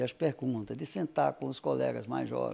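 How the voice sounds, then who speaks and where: A man talks at a moderate pace. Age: 60s. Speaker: physics professor and researcher. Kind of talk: interview. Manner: hesitant, many fillers.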